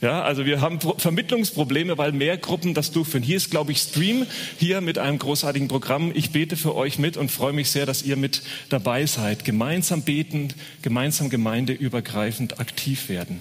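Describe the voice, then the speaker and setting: A man with a fairly high voice talks at a moderate pace with ordinary pitch variation over noticeable background noise. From Franconia, Bavaria (Uffenheim). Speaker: guest preacher. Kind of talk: sermon.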